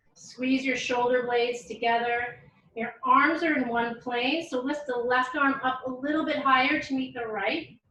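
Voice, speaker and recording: A woman uses a raised, projected voice with a high pitch and fairly even intonation. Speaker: yoga teacher. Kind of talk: yoga class instruction. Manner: eloquent.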